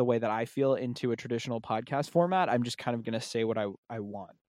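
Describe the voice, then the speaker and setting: An ordinary speaking voice at a fairly quick pace, on a very clean recording with a silent background. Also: man. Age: 20s. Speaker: music podcast host and playlist curator. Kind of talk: casual chat.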